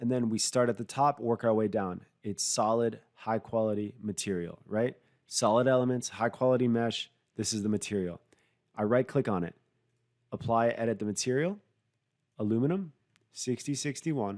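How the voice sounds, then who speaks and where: In a very clean recording over a silent background, a man of medium pitch speaks at a moderate pace with ordinary pitch variation and long, frequent pauses. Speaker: software product specialist. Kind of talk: tutorial.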